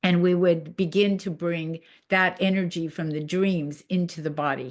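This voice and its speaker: Her pitch fairly low and her intonation fairly even, a woman speaks at a moderate pace. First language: not English. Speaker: Jungian psychotherapist and presenter. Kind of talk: discussion after a presentation. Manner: halting, many fillers and restarts.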